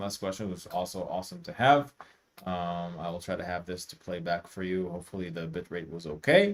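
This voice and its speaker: A man with a non-native accent at a moderate pace. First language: not English. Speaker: music producer and teacher. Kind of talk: live stream tutorial. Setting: live stream from home studio. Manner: casual, halting with fillers.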